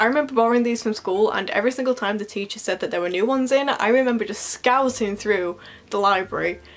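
Faint music plays in the background behind a woman. Her pitch varies in an ordinary way. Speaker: book vlogger. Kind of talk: casual vlog chat. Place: home room. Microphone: phone near.

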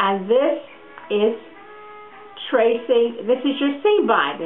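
Music plays in the background. The speaker has a warm tone and a very slow pace. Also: woman. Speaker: sewing teacher. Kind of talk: instructional sewing lesson to camera. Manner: friendly, warm.

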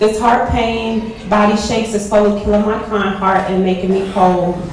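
A woman's medium-pitched voice in an American accent, monotone and flat, at a moderate pace, with light background noise and audible room echo. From US Midwest. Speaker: poet. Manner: intense, rhythmic delivery with rhyming lines building to an emotional, pained climax; casual, slightly hesitant intro before the reading. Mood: grave, emotional. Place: hall.

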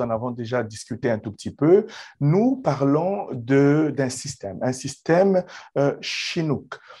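A man speaks at a very slow pace with lively intonation, a dark, mellow tone and a fairly high pitch, over a quiet background. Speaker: immigration consultant, podcast host; podcast host. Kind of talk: interview. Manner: formal. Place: office. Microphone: video call.

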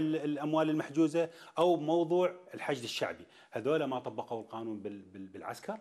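The pace is moderate and the pitch varies in an ordinary way. A man speaks against a quiet background. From Iraq. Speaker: TV talk show host. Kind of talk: political interview. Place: hall. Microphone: lapel.

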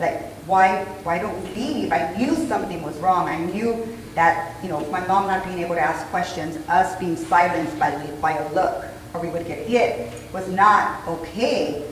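At a moderate pace, a woman speaks with ordinary pitch variation, with audible room echo and light background noise. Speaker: conference guest. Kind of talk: interview answer. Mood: earnest personal storytelling. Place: hall.

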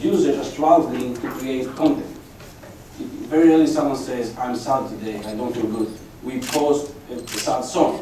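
A man at a moderate pace with ordinary pitch variation, light background noise and audible room echo. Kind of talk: conference talk. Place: hall.

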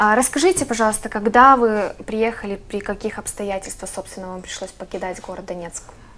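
Her bright, sharp tone moving at a fairly quick pace with hardly any pauses, a woman speaks at a fairly high pitch with ordinary pitch variation and big swings in loudness. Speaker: TV host. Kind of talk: studio interview. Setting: studio. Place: studio.

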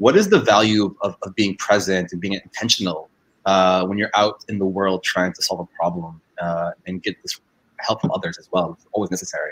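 In a plain, everyday voice, a man with a fairly low pitch speaks at a fairly quick pace with fairly even intonation. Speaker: accelerator network manager, panel moderator. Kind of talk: panel discussion, online AMA. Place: home room. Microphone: video call.

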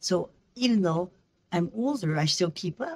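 The woman's voice is somewhat breathy and fairly low in pitch, with lively intonation. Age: 80s+. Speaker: missionary and English teacher. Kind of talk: interview answer. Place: office. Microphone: video call.

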